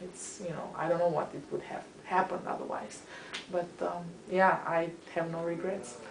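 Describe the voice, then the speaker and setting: A woman with fairly low pitch and a Romanian accent speaks at a moderate pace with fairly even intonation and big swings in loudness, amid noticeable background noise and audible room echo. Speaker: history professor. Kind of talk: interview. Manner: halting.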